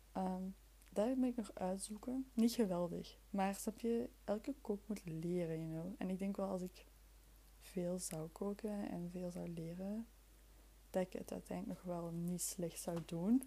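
With a Flemish accent, a woman talks fairly slowly at a medium pitch, her tone dark and mellow, somewhat breathy, with ordinary pitch variation. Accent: Flemish Dutch. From Flemish Brabant, Belgium (near Leuven). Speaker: podcast host. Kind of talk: casual solo chat. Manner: chaotic, halting.

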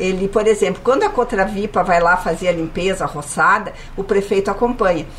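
A woman talks at a fairly quick pace with medium pitch and ordinary pitch variation. Noticeable background noise runs underneath. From Caxias do Sul, Rio Grande do Sul, Brazil. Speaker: city government official. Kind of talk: radio interview. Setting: studio.

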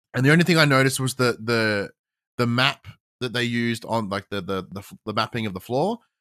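A man talks at a very fast pace in a bright, sharp tone, his medium pitch showing ordinary variation. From Australia. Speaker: podcast co-host guest. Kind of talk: casual chat. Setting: remote call.

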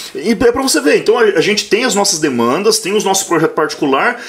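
Over noticeable background noise, a man speaks at a very fast pace in a high pitch, with an animated tone and very wide pitch swings. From Paraná, Brazil (Maringá). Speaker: accounting professor. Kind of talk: casual chat.

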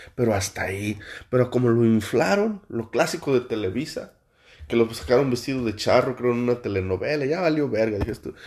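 A man with a Mexican accent talks at a moderate pace and a medium pitch. The recording is very clean, with a silent background. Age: 40s. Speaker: podcaster. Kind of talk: casual monologue.

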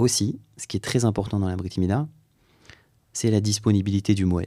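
Very deep and low in pitch, a man with a dark, mellow tone speaks at a fairly quick pace. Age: 30s. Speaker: rabbi and mohel. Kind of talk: interview.

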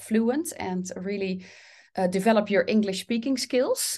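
A woman with a Dutch accent, fairly high-pitched, at a moderate pace, against a quiet background. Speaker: English coach, former teacher. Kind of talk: interview conversation.

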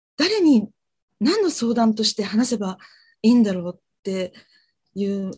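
This woman's fairly high voice swings very widely in pitch, somewhat breathy, at a moderate pace. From Japan, Fukuoka. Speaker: freelance TV director, client. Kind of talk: career consultation.

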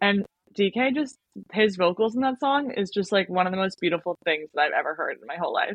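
Speaking fairly quickly, a woman with a medium pitch uses an animated tone and lively intonation. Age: 20s. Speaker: K-pop fan and fitness instructor. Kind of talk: casual chat.

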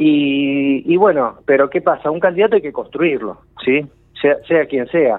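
Here is a man with a fairly high pitch and an ordinary speaking voice. He talks at a fairly slow pace. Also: ordinary pitch variation. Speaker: political columnist. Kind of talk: radio political commentary.

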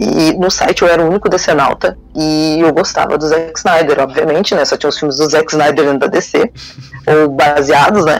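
Over music in the background, a man with a fairly high pitch keeps his loudness very even. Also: fairly even intonation, moderate pace. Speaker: fan news site founder. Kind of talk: casual chat.

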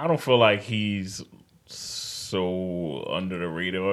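Audible room echo surrounds a man speaking with a very deep, low pitch in a New York accent. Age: 30s. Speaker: podcast host. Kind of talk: casual chat.

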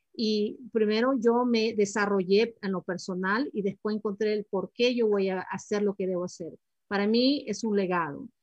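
Recorded with a dry, close sound and no echo, a woman uses a normal speaking voice at a medium pitch, with ordinary pitch variation and a moderate pace. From Ecuador, Guayaquil; moved to the US at seven. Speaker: financial planning advisor. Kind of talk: interview.

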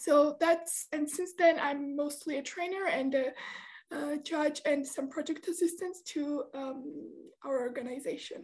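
A woman with a Georgian accent talks fairly slowly in a high voice with fairly even intonation. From Georgia (country). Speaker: debate trainer and judge. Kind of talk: interview. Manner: halting, many fillers.

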